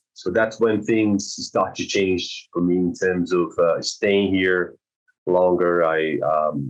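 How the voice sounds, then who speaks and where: A man with a Brazilian accent talks at a very slow pace. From South Brazil. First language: Portuguese. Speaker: swimming teacher. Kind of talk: podcast interview. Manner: halting, many repetitions and fillers.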